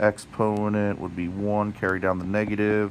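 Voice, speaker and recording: Over noticeable background noise, a man speaks fairly slowly at a fairly low pitch. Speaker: math teacher. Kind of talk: tutorial.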